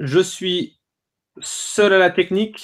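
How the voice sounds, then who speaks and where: Speaking at a high pitch, a man is heard. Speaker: blog co-founder and webinar host. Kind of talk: live webinar hosting. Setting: video call.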